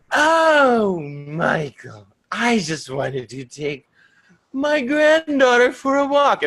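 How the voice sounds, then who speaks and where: In a put-on character voice, a man speaks at an extremely high pitch and a very slow pace with a sinister, menacing tone. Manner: sinister, sweetly menacing.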